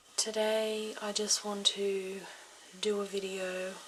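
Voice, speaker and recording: Soft-spoken, a woman whispers over noticeable background noise. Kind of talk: ASMR health motivation talk. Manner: soft-spoken, whispered.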